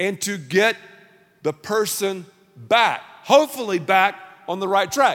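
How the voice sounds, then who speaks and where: A man speaks in a raised, projected voice at a high pitch. His pace is very slow. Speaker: pastor. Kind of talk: sermon.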